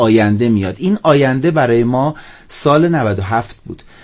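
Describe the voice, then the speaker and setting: A man talks at a fairly slow pace and medium pitch. He has an unremarkable speaking voice. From Iran, southeast Tehran. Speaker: entrepreneur. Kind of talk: radio interview.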